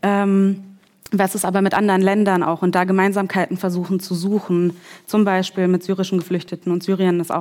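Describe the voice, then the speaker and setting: Monotone, flat intonation comes at a moderate pace in a very clean recording with a silent background. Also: woman. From Germany (came from Kazakhstan as a child in the mid-90s). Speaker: researcher and educator. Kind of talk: panel discussion. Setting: stage with audience.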